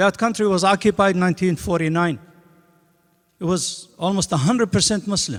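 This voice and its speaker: A man's moderate-paced speech, pitch shifting an ordinary amount. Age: 60s. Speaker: imam giving Friday sermon. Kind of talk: sermon. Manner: animated.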